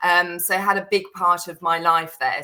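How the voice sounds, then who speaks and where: Fairly slow speech in a bright, sharp tone. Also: woman. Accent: British. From Netherlands, teenage years in the UK. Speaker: serviced apartment booking agency professional. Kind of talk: podcast interview.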